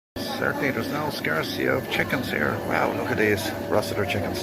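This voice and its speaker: A man talking at a very fast clip, with noticeable background noise and audible room echo. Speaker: travel vlogger. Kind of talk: casual vlog narration. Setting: on a river boat; outdoor market. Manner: loud.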